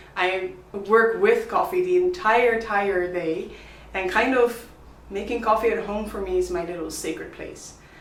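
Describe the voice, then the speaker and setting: A woman with a Dutch accent at a moderate pace, fairly high in pitch with very wide pitch swings, amid noticeable background noise and audible room echo. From Netherlands. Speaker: coffee vlogger, barista. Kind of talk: product review vlog. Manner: animated.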